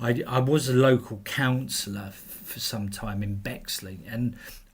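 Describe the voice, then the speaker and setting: A man's voice sits at a medium pitch and sounds somewhat breathy. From southeast England, London area (Belvedere/Erith). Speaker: men's rights campaigner, charity chair. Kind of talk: interview. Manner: hesitant, repeats words.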